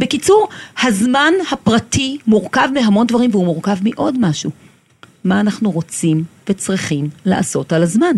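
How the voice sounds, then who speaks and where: A woman speaks at a moderate pace in a fairly high, somewhat breathy voice. Her pitch swings very widely. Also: very even loudness. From Israel, kibbutz. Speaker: time-management consultant. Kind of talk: interview. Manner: energetic.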